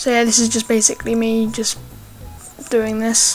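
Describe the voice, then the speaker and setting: A woman talks with a fairly high pitch. Noticeable background noise runs under her voice. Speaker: gaming YouTuber. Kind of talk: gameplay commentary. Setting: home recording. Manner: hesitant, many fillers; volume goes loud and soft.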